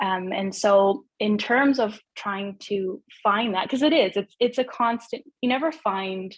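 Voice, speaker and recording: In a Canadian accent, a woman speaks at a fairly slow pace with ordinary pitch variation. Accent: Canadian, noticeable in UK. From Canada, Vancouver. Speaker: well-being coach. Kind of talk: casual interview chat.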